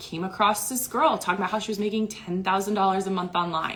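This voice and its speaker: A woman talks while background noise is clearly audible. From US Midwest (Iowa). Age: 30s. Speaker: online business coach, former teacher. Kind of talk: livestream talk. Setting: hotel room. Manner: animated.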